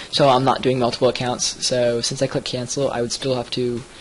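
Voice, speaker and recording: There is noticeable background noise. A man talks at medium pitch in a flat monotone. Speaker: software reviewer. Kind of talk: screen-recorded software review tutorial. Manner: fast; many fillers, um and uh.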